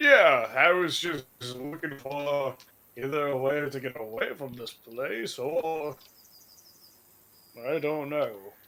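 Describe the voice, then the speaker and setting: The speaker uses a put-on character voice. Delivery is fairly slow, with long, frequent pauses. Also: man, fairly high pitch for a man. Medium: actual play. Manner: rambling, vague.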